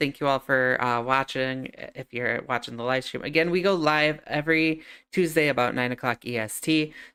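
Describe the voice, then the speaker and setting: A woman's bright, sharp voice with a slight New York accent, at a fairly quick pace. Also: hardly any pauses. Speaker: podcast host, streamer. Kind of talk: show outro; casual chat. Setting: live stream. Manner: talkative.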